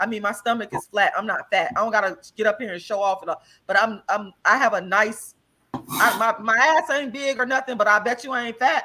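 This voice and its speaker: A woman with a fairly high voice speaks loudly at a fairly quick pace. Her tone is animated, bright and sharp, with ordinary pitch variation. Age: 40s. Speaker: vegan health guest. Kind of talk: casual chat.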